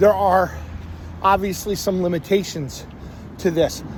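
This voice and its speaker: Speaking fairly slowly, a man with an American accent uses a high pitch and ordinary pitch variation. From Philadelphia area, US. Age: 50s. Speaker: vlogger. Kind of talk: personal monologue. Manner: halting.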